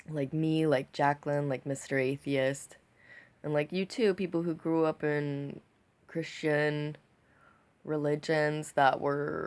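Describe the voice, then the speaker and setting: Very deep and low in pitch, a woman speaks very slowly with a monotone, flat intonation and an American accent. The recording is very clean, with a silent background. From United States. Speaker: vlogger. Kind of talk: casual video monologue. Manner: halting, hesitant; enunciating carefully.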